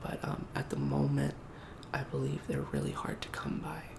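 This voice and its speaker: A man whispers, soft-spoken. Noticeable background noise sits behind him. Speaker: roleplay game store clerk. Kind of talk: ASMR game store roleplay. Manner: soft-spoken, whispering.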